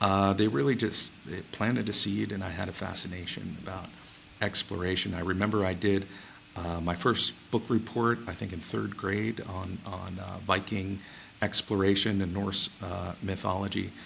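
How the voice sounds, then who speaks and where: This man speaks with an American accent at a moderate pace. His pitch is fairly low and his intonation fairly even. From US Northeast, New York City area. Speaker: space agency head. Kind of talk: interview. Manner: halting, many fillers.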